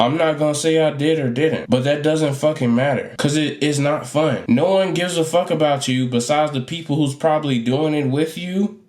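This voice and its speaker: A man speaks at a fairly high pitch with ordinary pitch variation, and noticeable background noise can be heard. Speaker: YouTube commentator. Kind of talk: casual commentary monologue. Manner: halting, repetitive.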